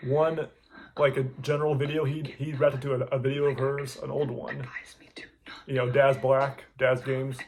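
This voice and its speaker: A man with a fairly high pitch talks at a moderate pace over noticeable background noise. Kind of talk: reaction video commentary, casual talk to camera. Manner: casual, chatty, rambling.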